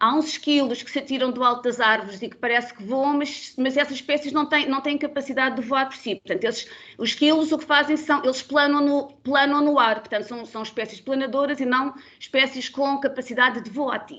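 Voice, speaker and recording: A woman with a high pitch talks at a fairly quick pace, hardly pausing at all. Her tone is bright and sharp, with big swings in loudness. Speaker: biologist, bat conservation expert. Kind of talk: webinar presentation. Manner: fast; loud, animated.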